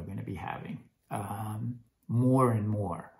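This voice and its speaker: The man's voice is somewhat breathy. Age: 60s. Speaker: health vlogger. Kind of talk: casual vlog monologue. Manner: hesitant, many fillers.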